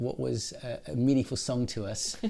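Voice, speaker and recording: A man with a British accent. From England. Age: 60s. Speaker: podcast host. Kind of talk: casual chat.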